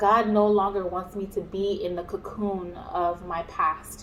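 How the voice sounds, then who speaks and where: A woman talks fairly slowly as noticeable noise fills the background. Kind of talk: personal testimony. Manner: halting, many fillers.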